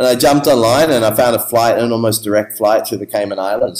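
Talking at a very fast pace, a man with an Australian accent has a medium pitch and ordinary pitch variation. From Australia, Melbourne. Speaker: musician and music producer. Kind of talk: interview. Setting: remote call.

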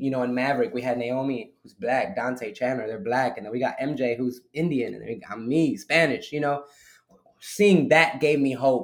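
This man's voice sits at a medium pitch, varying in an ordinary way as he talks at a moderate pace. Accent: American. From Newark, New Jersey. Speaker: worship musician and minister. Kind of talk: casual interview.

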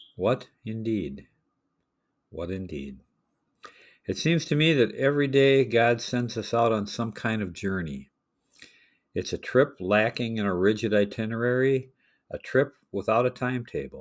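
Lively intonation marks this man's medium-pitched voice, delivered at a fairly slow pace with long, frequent pauses. The recording is very clean, with a silent background. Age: 60s. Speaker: preacher. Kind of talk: sermon.

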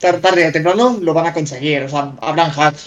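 A man's high-pitched voice is heard against noticeable background noise. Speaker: 3D artist and gamer. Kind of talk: live-streamed casual chat. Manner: halting, repeats words.

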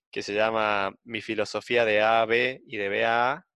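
A man talks at a medium pitch. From outside Buenos Aires. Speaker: podcast co-host, university student. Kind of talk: casual chat. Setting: video call.

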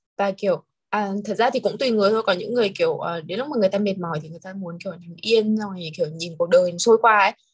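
A woman talks very fast at a medium pitch, with hardly any pauses and ordinary pitch variation. Her voice is somewhat breathy, and her loudness swings widely. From Hanoi, northern Vietnam. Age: 20s. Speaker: export company employee. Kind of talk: casual chat.

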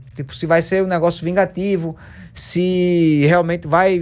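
A man with an unremarkable speaking voice, fairly high in pitch, at a fairly slow pace. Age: 20s. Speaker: streamer. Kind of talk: casual chat.

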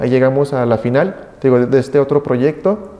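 Moderate pace, with noticeable background noise. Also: man. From Mexico, Aguascalientes. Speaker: biomedical engineer. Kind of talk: interview.

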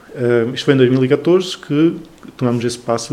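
A man talks at a moderate pace with medium pitch. Noticeable background noise sits behind him. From northern Portugal, Trás-os-Montes (Chaves). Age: 20s. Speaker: cultural association founder. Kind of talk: casual interview. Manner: halting with many fillers.

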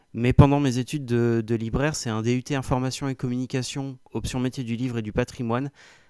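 Recorded very cleanly against a silent background, a man with a medium pitch talks at a fairly quick pace in a monotone, flat intonation. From north-eastern France, near Reims. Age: 30s. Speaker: IT support worker, coaching client. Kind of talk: interview testimony. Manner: halting, many hesitations.

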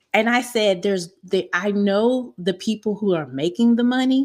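An ordinary speaking voice with an American accent and lively intonation comes through on a very clean recording with a silent background. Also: woman. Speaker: online marketing specialist. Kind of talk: interview.

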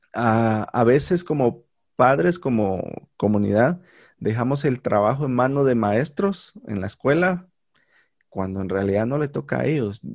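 An ordinary speaking voice from a man, fairly slow and with lively intonation, on a very clean recording with a silent background. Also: medium pitch for a man. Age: 30s. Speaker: podcast host, teacher by profession. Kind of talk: casual conversation.

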